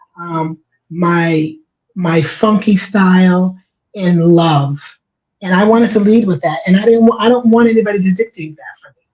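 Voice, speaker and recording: A woman's medium-pitched, somewhat breathy voice at a moderate pace, with ordinary pitch variation and big swings in loudness. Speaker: organizational change agent and writer. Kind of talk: casual chat.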